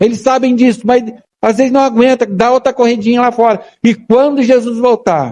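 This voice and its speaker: A man's extremely high pitch with a dark, mellow tone, fairly even intonation, very even loudness and moderate pace. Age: 60s. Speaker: pastor. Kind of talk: sermon. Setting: church. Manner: emphatic, repetitive.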